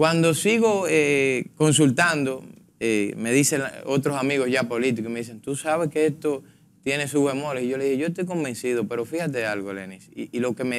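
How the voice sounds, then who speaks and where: A man talks with lively intonation. Light background noise can be heard. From Dominican Republic. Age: 20s. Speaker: politician, congressional pre-candidate; politician, candidate. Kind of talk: political panel debate. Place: studio. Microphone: lapel.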